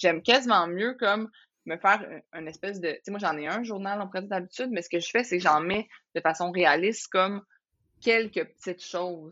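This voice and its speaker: At a fairly quick pace, a woman with a Quebec accent speaks at a medium pitch with ordinary pitch variation. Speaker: entrepreneur, former lawyer. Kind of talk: casual interview chat.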